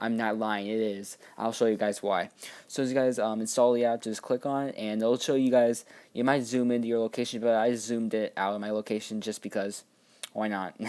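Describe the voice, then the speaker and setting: A man of medium pitch talks at a fairly quick pace in a monotone, flat delivery, on a very clean recording with a silent background. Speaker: app reviewer. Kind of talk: tutorial. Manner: fast; casual, halting with fillers.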